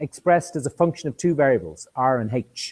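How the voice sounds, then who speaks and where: The recording is very clean, with a silent background and a dry, close sound with no echo. A man talks at a moderate pace in an Irish accent. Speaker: university lecturer. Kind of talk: lecture. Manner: halting, with many repetitions and fillers.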